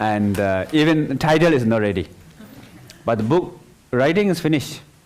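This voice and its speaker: A man with a non-native accent talks at a moderate pace and medium pitch, his pitch swinging very widely while his loudness stays very even, over noticeable background noise. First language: not English. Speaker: meditation teacher. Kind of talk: dharma talk. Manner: halting.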